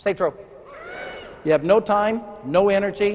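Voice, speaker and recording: Amid noticeable background noise, a man with an American accent speaks at a high pitch. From Texas. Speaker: motivational speaker. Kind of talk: keynote speech. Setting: stage with audience. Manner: fast.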